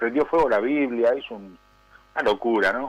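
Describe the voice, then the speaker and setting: A male voice with fairly even intonation. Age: 60s. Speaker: prison pastor, former criminal. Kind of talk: testimony. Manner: halting, many fillers.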